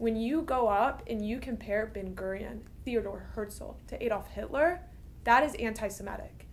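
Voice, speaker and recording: A woman speaks at a moderate pace, and the room echoes audibly around her. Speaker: university student. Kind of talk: interview.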